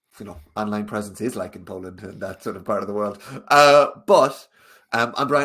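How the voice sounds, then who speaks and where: With a strong Irish accent, a man talks using ordinary pitch variation. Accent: thick Irish. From Ireland. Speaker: sales coach. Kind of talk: webinar interview. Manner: fast when passionate.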